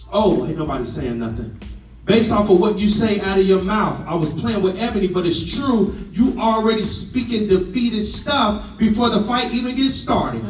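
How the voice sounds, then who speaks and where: A man speaks in a high-pitched voice with an animated tone. Noticeable background noise is present. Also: hardly any pauses. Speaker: pastor. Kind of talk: sermon. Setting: church with congregation. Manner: animated, call-and-response preaching; conversational, humorous, urgent.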